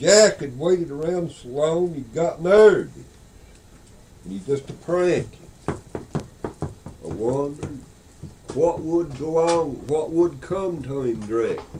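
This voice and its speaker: A man with a Southern Appalachian accent and fairly high pitch, very slow with long, frequent pauses and ordinary pitch variation, over noticeable background noise. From Beech Mountain, North Carolina. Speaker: storyteller. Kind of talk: folk tale telling. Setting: audio cassette recording.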